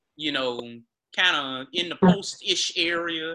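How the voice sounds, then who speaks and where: With a Mississippi accent, a man speaks in a high pitch. His intonation is lively. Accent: US South (Mississippi). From Greenville, Mississippi. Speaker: sports podcast host. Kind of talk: casual chat.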